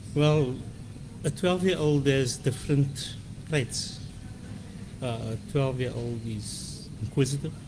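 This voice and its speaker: Amid audible room echo, a man speaks at a fairly slow pace with long, frequent pauses, medium pitch and ordinary pitch variation. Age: 60s. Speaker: interview guest. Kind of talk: radio interview. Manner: hesitant with fillers and repetitions.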